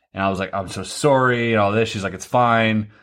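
A bright, sharp tone with ordinary pitch variation comes through over a quiet background. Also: man. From Canada (Germany, Maritimes, Ontario, Quebec). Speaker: podcast co-host. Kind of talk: casual chat. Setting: in-person, shared mic at home.

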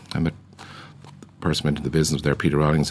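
The speaker talks very fast in a Dublin accent with a monotone, flat intonation. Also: man. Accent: Irish, Dublin. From Ireland, Dublin. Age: 60s. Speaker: business founder. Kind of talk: interview. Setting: studio.

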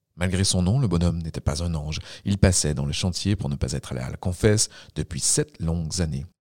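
At a fairly quick pace, the voice shows vocal fry and ordinary pitch variation, recorded dry and close with no echo. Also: man. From Quebec. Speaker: storyteller narrator. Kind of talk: scripted narration of a ghost tale, told as a folk story. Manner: measured, storyteller cadence with suspense.

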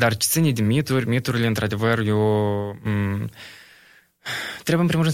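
A man talks at a medium pitch. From Moldova, Bălți. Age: 20s. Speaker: environmental activist. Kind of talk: casual chat. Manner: halting, many fillers.

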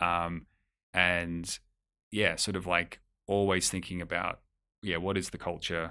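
A man with an Australian accent speaks at a moderate pace in a very deep, low pitch with a bright, sharp tone. His intonation is monotone and flat, on a very clean recording with a silent background. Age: 30s. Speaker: music executive. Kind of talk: interview. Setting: office.

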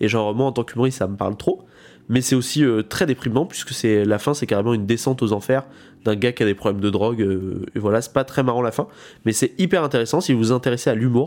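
On a very clean recording with a silent background, a man speaks at a very fast pace with medium pitch and ordinary pitch variation. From France, rural village. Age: 20s. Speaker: podcast host and stand-up comedian. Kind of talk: casual chat.

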